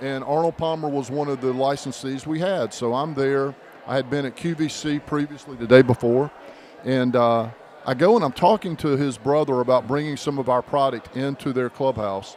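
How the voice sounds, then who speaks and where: Over noticeable background noise, a man with a slight Southern US accent talks at a moderate pace, at medium pitch and with ordinary pitch variation. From North Carolina, US South. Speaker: podcast co-host. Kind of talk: casual chat.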